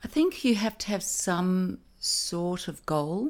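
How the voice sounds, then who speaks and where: In an Australian accent, a woman speaks with a fairly low pitch and ordinary pitch variation on a very clean recording with a silent background. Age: 50s. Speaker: actress. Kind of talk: casual chat.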